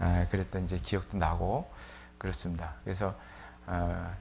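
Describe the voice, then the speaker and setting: Very deep and somewhat breathy, a man's voice moves at a moderate pace. Room echo is audible. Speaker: preacher. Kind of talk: sermon. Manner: casual, with many fillers.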